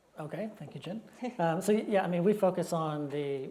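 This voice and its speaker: Over noticeable background noise, a man with an American accent speaks at a moderate pace. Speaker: construction software executive. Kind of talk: panel discussion. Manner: halting, many repetitions.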